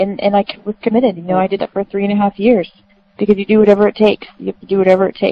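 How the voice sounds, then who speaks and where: Very fast and monotone, a woman with an American accent and a medium pitch speaks with flat intonation. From Florida. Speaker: army officer and foundation founder. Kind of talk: interview.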